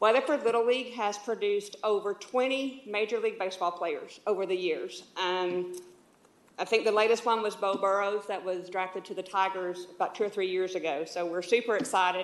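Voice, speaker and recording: A woman speaks with a Texas accent. Her pace is fairly quick. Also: medium pitch for a woman, ordinary pitch variation. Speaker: youth league volunteer. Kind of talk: public comment at council meeting. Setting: city council chamber. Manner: loud.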